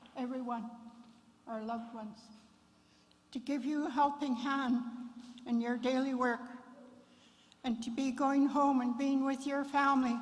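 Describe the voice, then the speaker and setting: A woman speaks at a high pitch in a monotone, flat intonation, at a moderate pace. Long, frequent pauses punctuate her speech, and the room echo is audible. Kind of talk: memorial address; opening prayer and blessing. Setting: memorial service at fairgrounds.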